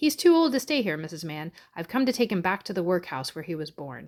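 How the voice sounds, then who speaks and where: Using a put-on character voice, a woman talks at a very fast pace with very wide pitch swings and a medium pitch. The recording is very clean with a silent background. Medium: read story. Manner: pompous, stern.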